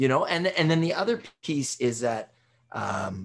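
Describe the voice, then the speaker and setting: This man's voice is fairly high in pitch, with vocal fry. His pitch swings very widely. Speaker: podcast host. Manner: conversational, hesitant, fillers.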